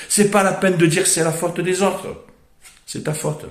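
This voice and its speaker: A man with a Marseille accent, animated in tone with ordinary pitch variation, amid audible room echo. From Marseille, southern France. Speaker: motivational speaker. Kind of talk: motivational monologue.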